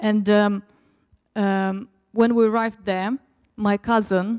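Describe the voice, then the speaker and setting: Her medium-pitched voice has fairly even intonation, and the woman's sound is dry and close with no echo. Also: very clean recording, silent background. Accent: Russian. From Turkmenistan, Russian-speaking family. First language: Russian. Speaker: preacher. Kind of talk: sermon. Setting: church.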